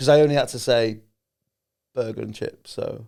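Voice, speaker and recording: A fairly quick pace in a Cheshire accent. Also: man. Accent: Chester English. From England, Chester. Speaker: comedian. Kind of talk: casual chat.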